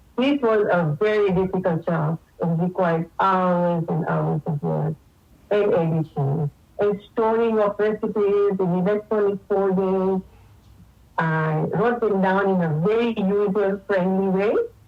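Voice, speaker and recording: With music in the background, a woman speaks at a fairly slow pace with ordinary pitch variation. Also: medium pitch for a woman, very even loudness. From Tanzania, East Africa. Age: 60s. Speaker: cookbook author and pharmacist. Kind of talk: radio interview.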